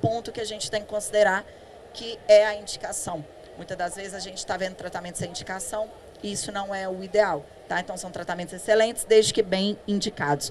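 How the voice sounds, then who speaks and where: Over noticeable background noise, a woman with a Minas Gerais accent talks at a fairly quick pace, her medium-pitched voice keeping fairly even intonation. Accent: Minas Gerais Brazilian Portuguese. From Brazil, Minas Gerais. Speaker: dentist, implantology specialist. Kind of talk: conference talk. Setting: stage with audience. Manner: conversational, with many fillers.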